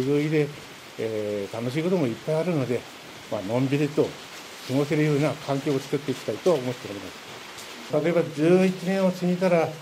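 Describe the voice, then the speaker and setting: At a fairly quick pace, a man with a fairly high pitch and ordinary pitch variation talks over noticeable background noise. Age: 60s. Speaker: returning evacuee resident. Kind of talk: interview. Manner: halting.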